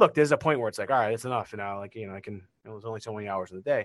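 A man with a Boston accent talks in a dry, close sound that has no echo. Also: quiet background. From Massachusetts, Beverly (Boston area). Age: 40s. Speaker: marketing company CEO. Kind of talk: interview. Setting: video call.

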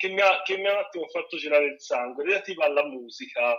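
A man speaks very fast in a raised, projected voice. His pitch is high and swings very widely. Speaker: film critic and festival director. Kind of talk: casual chat as radio guest. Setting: remote call from home, sitting on a chair.

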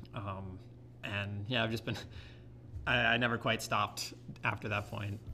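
A man speaks at a moderate pace with a fairly low pitch and a bright, sharp tone. His intonation is monotone and flat, with long, frequent pauses. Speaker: community theater actor. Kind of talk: casual interview.

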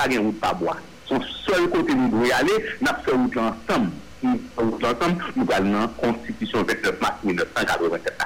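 A man at a fairly slow pace, his loudness very even, with noticeable background noise. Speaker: political party leader. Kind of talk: radio interview.

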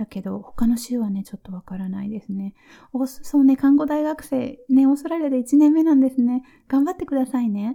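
Her voice has a relaxed, gentle tone that is dark and mellow, and the woman's intonation is lively. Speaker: nurse and podcast host. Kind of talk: casual listener Q&A monologue. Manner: relaxed and gentle.

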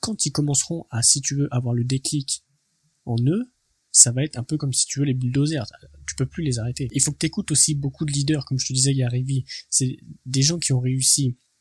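The voice is somewhat breathy, moving at a fairly quick pace with a dry, close sound and no echo. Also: man, fairly high pitch for a man. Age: 20s. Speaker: entrepreneurship podcaster. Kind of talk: motivational monologue. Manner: casual, hesitant with repetitions.

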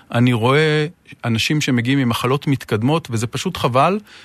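A plain, everyday voice speaks at a moderate pace with ordinary pitch variation, in a dry, close sound with no echo and a quiet background. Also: man. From northern Israel. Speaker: urologist, hospital unit director. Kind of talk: interview.

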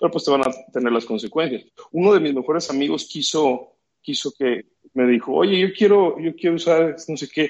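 Fairly high in pitch for a man, he speaks in an ordinary speaking voice at a moderate pace with ordinary pitch variation. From Mexico, Guadalajara. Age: 30s. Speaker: sports medicine doctor. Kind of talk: casual interview.

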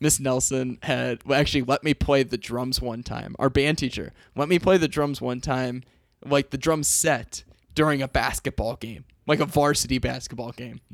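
A man speaks in an unremarkable speaking voice at medium pitch and a moderate pace, with fairly even intonation. The sound is dry and close, with no echo. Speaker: podcast host, teacher. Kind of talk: casual chat.

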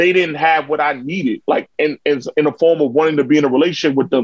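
A man with a New York accent, fairly high pitch, fairly even intonation and a fairly quick pace. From New York, Harlem. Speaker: content creator. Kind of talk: casual chat.

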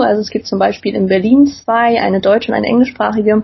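A somewhat breathy female voice. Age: 20s. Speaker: student and skin-picking patient. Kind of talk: interview.

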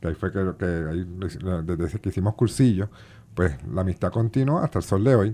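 Over a quiet background, a man with a Puerto Rican accent speaks in a very deep, low pitch with a dark, mellow tone. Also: ordinary pitch variation, moderate pace. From Puerto Rico, Bayamón. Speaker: sea turtle conservation group director and math teacher. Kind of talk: radio interview. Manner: halting, many fillers and repetitions.

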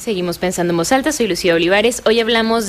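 Background noise is noticeable throughout. A woman's voice comes through it. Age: 30s. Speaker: radio host. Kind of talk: radio interview.

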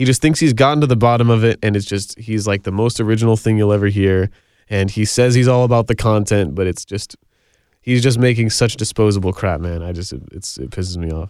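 In a very clean recording with a silent background, a man with a normal speaking voice talks at a fairly quick pace, fairly low in pitch with ordinary pitch variation. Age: 20s. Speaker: musician. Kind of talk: casual chat.

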